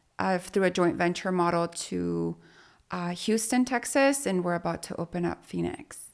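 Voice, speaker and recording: Recorded very cleanly against a silent background, a woman with a Spanish accent speaks at a moderate pace. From Mexico, moved to Utah at eleven. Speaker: business owner. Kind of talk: interview conversation.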